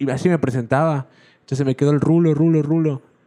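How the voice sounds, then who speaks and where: The man's tone is dark and mellow. He speaks at a fairly quick pace. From Yucatán, Mexico. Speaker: podcast host. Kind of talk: casual chat.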